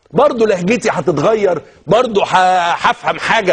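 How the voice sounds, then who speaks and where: A man talks in an animated tone with a Cairo accent. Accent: Egyptian Arabic (Cairene). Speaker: TV talk show host. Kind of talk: TV talk show monologue.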